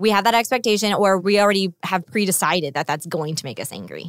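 A woman with a medium pitch talks at a very fast pace with lively intonation and hardly any pauses, in a dry, close sound with no echo. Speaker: podcast co-host. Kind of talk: casual chat. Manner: loud.

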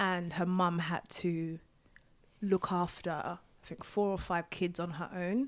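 On a very clean recording with a silent background, a woman speaks very slowly in a fairly low pitch with fairly even intonation. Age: 20s. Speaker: midwife and candle maker. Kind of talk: casual interview.

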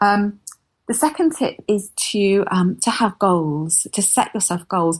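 A somewhat breathy woman's voice of medium pitch, with a southern English accent, lively intonation, and a very slow pace against a quiet background. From southern England. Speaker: copywriter and business founder. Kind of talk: interview.

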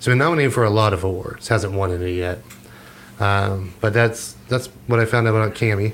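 A man has a plain, everyday voice with a fairly low pitch. He speaks at a fairly quick pace with ordinary pitch variation. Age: 40s. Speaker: podcast co-host. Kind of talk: casual chat.

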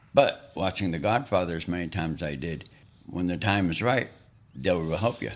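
Over a silent background on a very clean recording, a man speaks with a very deep, low pitch. His pace is fairly quick, with ordinary pitch variation. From northeastern Montana. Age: 60s. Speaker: host's father, sharing life history. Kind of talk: casual chat. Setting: studio.

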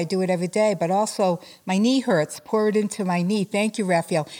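A woman with an unremarkable speaking voice, medium pitch, fairly even intonation and a fairly quick pace. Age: 60s. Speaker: spiritual healer and life coach. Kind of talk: interview.

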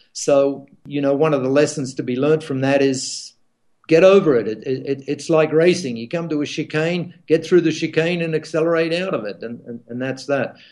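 Here a man speaks in a normal speaking voice with an American accent. His pitch is fairly high, with ordinary variation. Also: moderate pace. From Australia. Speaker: event founder and ad executive. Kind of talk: casual interview.

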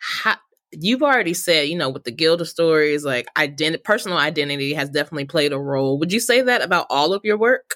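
Very fast, animated, enthusiastic delivery with lively intonation, in a dry, close sound with no echo. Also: woman, very deep, low pitch for a woman. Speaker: podcast host. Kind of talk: interview conversation.

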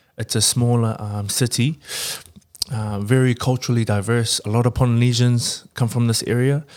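A man talks at a moderate pace with a New Zealand accent. His intonation is monotone and flat. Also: medium pitch for a man. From New Zealand, Porirua (Wellington region). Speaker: rugby player. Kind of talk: casual chat.

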